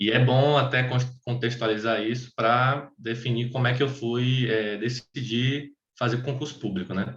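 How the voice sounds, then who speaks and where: At a fairly slow pace, a man speaks in a monotone, flat intonation. His voice sits at a medium pitch and sounds somewhat breathy. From Bahia, Brazil (Salvador). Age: 20s. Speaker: tax auditor. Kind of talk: personal testimony in an online meeting. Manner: halting, many fillers and restarts.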